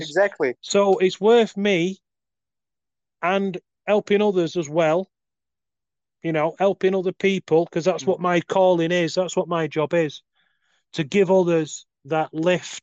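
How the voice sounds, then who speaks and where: With long, frequent pauses, a man with a British accent speaks at a moderate pace and a high pitch, his intonation fairly even and the sound dry and close with no echo. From UK. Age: 40s. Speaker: life coach. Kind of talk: casual chat. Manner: talkative, long monologues.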